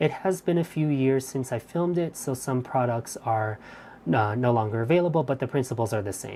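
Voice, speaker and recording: A woman speaks softly at a fairly quick pace, her pitch very deep and low. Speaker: craft instructor streaming live. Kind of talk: live stream craft demo chat. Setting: live stream. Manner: soft-spoken; hesitant, many fillers.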